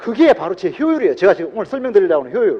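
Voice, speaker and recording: A man's voice with very wide pitch swings. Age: 70s. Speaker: motivational speaker at a business seminar. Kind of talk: seminar talk to an audience. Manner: animated.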